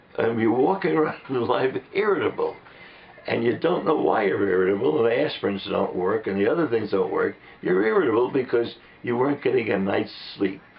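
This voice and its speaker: Fairly quick speech at very even loudness, with noticeable background noise. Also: man. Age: 80s+. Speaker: patient. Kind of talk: testimony. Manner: halting.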